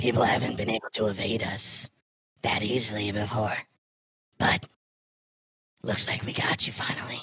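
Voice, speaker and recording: Putting on a raspy character voice, a man speaks at a fairly low pitch in a monotone, flat intonation, at a moderate pace with long, frequent pauses. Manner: menacing, gloating.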